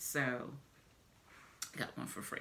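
In an American accent, a woman speaks with a bright, sharp tone. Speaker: product review vlogger. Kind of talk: casual product review vlog. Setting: at home. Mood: cheerful, enthusiastic. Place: home room. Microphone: phone near.

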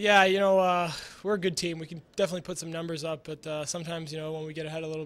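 Speaking fast, a man with a fairly high, fairly bright voice keeps his pitch moving very little.

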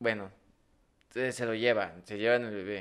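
A man is speaking with a Mexican accent. His pace is moderate. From Mexico. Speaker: podcast co-host. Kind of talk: casual chat. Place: studio. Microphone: studio mic.

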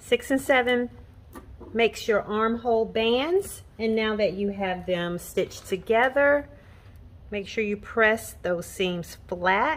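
A woman speaks very slowly in a fairly high voice, her pitch varying in an ordinary way. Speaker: sewing pattern designer. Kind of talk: tutorial. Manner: casual.

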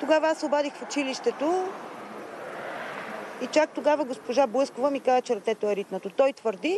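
A woman with a high pitch talks at a fairly quick pace, the sound dry with no echo and light background noise behind her. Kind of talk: interview answer. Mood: upset, indignant. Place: street.

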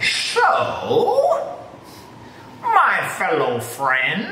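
Using a put-on character voice, a woman pitches extremely high. Clear background noise and a slight echo surround her. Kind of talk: oratorical address. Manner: mock-grandiose, pompous. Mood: playful, joking.

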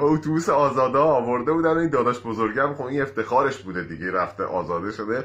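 A man's bright, sharp voice carries vocal fry and lively intonation at a moderate pace. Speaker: amateur comedian. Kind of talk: joke telling to camera. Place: home room. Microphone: phone near.

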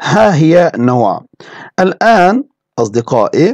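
This man's voice carries vocal fry and very wide pitch swings, with a dry, close sound and no echo. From Turkey. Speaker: language teacher. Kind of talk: lecture.

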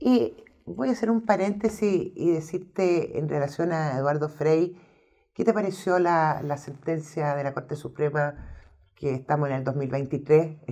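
A woman in a Chilean accent speaks at a fairly slow pace against a quiet background. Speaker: historian and interview host; interview host. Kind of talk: interview. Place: studio.

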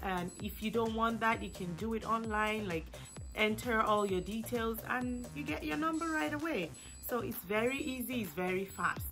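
With music in the background, the speaker talks at a moderate pace. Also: woman. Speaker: small business owner. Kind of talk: tutorial explanation.

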